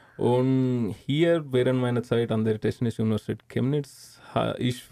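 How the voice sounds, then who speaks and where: A man at medium pitch, with a dry, close sound and no echo. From India. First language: not German (Indian) (speaking German). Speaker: engineering graduate. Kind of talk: interview. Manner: halting.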